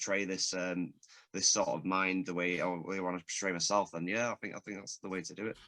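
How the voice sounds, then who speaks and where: In a Manchester accent, a man with a very deep, low voice talks at a very fast pace with fairly even intonation and a bright, sharp tone, in a dry, close recording with no echo and a quiet background. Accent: Manchester accent, noticeable. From northern England, Stockport, Greater Manchester. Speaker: podcast host. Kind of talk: casual chat. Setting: studio.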